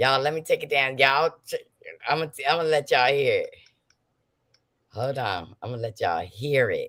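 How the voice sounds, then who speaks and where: A woman talks at a moderate pace in an animated tone. Her speech has long, frequent pauses. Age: 60s. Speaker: gossip livestream host. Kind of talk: casual livestream chat.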